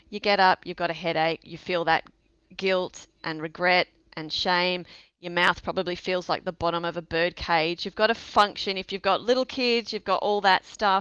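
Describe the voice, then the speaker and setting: Recorded dry and close with no echo against a quiet background, a woman with an Australian accent speaks at a moderate pace and medium pitch in a bright, sharp tone with fairly even intonation. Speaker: sobriety coach. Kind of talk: casual interview chat.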